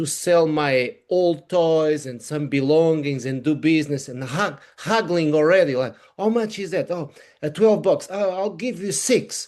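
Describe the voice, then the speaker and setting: With a Portuguese accent, a man talks at a fairly slow pace in a fairly high voice, his pitch varying in an ordinary way against a quiet background. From Portugal. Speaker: wearable technology consultant. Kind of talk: interview. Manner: halting.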